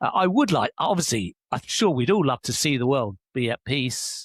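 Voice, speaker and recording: A man with a British accent is heard in a dry, close sound with no echo on a very clean recording with a silent background. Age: 60s. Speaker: leadership coach and author. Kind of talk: podcast interview.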